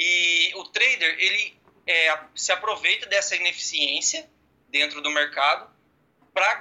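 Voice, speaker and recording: Pitch shifts in an ordinary way as the words come out fairly slowly. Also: man. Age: 20s. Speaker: agricultural pilot and day trader. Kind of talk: casual interview.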